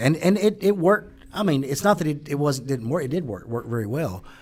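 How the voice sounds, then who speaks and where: Speaking fairly quickly in a Southern US accent, a man with a fairly high voice lets his pitch swing very widely. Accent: Southern accent, noticeable. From US South, Mississippi. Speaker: business owner and author. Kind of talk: podcast interview.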